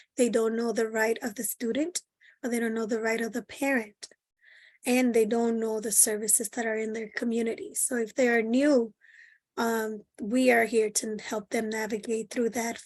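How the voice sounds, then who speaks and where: A woman with a Spanish accent speaks at a moderate pace in a fairly high pitch. Her intonation is monotone and flat, and the background is quiet. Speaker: bilingual parent liaison. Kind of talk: webinar interview. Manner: halting, frequent self-repeats.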